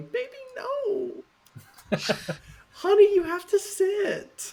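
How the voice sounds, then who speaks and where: A put-on character voice at an extremely high pitch comes out at a very slow pace. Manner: pleading, cooing.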